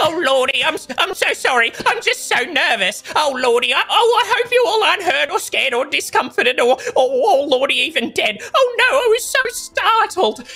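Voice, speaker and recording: A man performs a put-on character voice that is croaky and extremely high. His pitch swings very widely at a moderate pace. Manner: nervous, apologetic.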